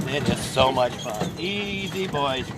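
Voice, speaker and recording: With ordinary pitch variation, a man speaks at a medium pitch amid noticeable background noise and audible room echo. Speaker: horse riding instructor. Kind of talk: live lesson demonstration. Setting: outdoors on a horse-drawn wagon.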